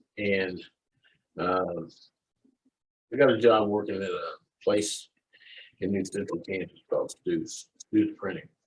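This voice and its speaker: Talking at a fairly slow pace, a man leaves long, frequent pauses. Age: 60s. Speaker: client sharing success story. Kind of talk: interview testimony. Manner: halting, many fillers and repeats.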